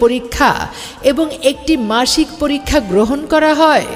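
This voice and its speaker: A woman with a high pitch speaks as music plays in the background. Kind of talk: promotional miking announcement.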